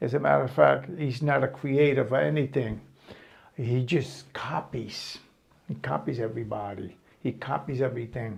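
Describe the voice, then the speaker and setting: A man speaks with a New York accent and vocal fry. His pitch varies an ordinary amount. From Brooklyn, New York. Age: 70s. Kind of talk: personal memoir talk. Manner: casual, hesitant.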